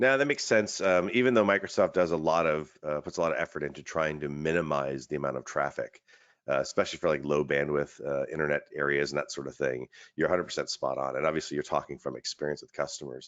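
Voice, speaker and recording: A man's very deep, low voice with vocal fry, very fast pace and ordinary pitch variation. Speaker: webinar host, IT expert. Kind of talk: webinar presentation. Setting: online webinar.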